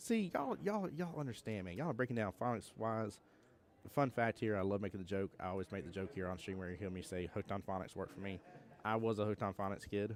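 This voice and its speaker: With an American accent, a man speaks at a fairly quick pace in a fairly low pitch with ordinary pitch variation. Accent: Southern US accent, strong on some words. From US South. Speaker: pool tournament commentator. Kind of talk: live commentary. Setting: live stream at tournament venue. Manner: animated.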